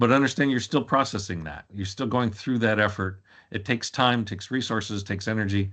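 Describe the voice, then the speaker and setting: A man speaks at a fairly quick pace. His pitch is fairly low, with ordinary variation. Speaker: information governance consultant. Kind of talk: webinar presentation. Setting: webinar. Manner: fast.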